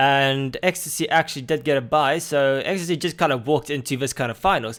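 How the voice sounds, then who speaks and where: A man with an Afrikaans accent on a very clean recording, silent background. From South Africa. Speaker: esports commentator. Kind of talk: live commentary. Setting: live stream. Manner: halting.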